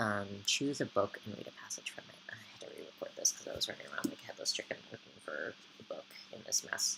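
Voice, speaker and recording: Someone whispers at a very fast pace with an American accent. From UK (Edinburgh and Belfast) and US East Coast. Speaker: vlogger. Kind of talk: casual vlog chat. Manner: hesitant, many ums.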